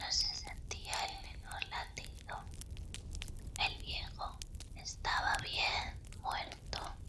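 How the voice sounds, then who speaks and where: A woman whispers in a theatrical tone at a very slow pace, with long, frequent pauses and noticeable background noise behind her. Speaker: ASMR content creator. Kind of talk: ASMR horror story reading. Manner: whispered, expressive, theatrical; slow, calm.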